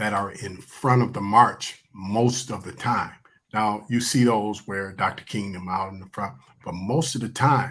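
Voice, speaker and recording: This man has a normal speaking voice with an American accent and medium pitch. He talks at a fairly slow pace with ordinary pitch variation. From Michigan, Willow Run. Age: 60s. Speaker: guest. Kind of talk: casual chat.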